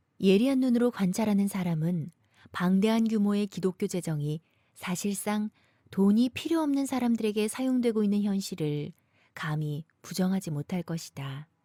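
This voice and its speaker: The tone is dark and mellow, somewhat breathy, with a dry, close sound and no echo. The recording is very clean over a silent background. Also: woman, medium pitch for a woman, lively intonation, moderate pace. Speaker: voice actor.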